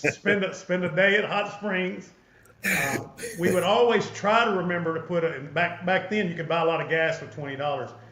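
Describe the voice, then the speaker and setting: Speaking at a fairly quick pace in an Arkansas accent, a man with a high voice and ordinary pitch variation is heard over noticeable background noise and audible room echo. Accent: Southern US (Arkansas). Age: 60s. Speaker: podcast host. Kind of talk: casual interview chat.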